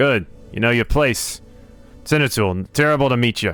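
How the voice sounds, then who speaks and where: A man's put-on character voice at a medium pitch and moderate pace, with hissing and faint music in the background. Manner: haughty, commanding.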